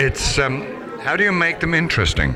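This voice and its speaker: A man talks with an American accent. Audible room echo and noticeable background noise come through. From Ireland. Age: 80s+. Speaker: actor. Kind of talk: interview.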